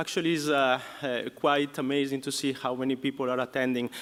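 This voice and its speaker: A man with an Italian accent, fairly high in pitch, flat and monotone in intonation, at a fairly quick pace. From Italy. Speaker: professor. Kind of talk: lecture. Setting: conference hall with audience. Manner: hesitant, many fillers.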